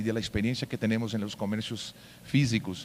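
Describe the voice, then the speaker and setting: A man speaks in a Portuguese accent. His pace is fairly quick. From Brazil. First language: Portuguese (speaking Spanish). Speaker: payments company executive. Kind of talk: conference talk. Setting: stage with audience. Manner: hesitant, many fillers.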